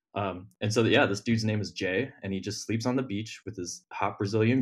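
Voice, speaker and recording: Speaking at a fairly quick pace with a Midwestern American accent, a man has a fairly low pitch and fairly even intonation on a very clean recording with a silent background. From Ohio. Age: 20s. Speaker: dating podcast guest. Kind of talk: casual chat.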